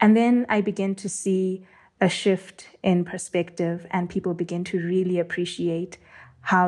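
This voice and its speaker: On a very clean recording with a silent background, a woman speaks at a moderate pace in a monotone, flat intonation. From Zimbabwe, Bulawayo. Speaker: space law and policy analyst. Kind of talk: interview.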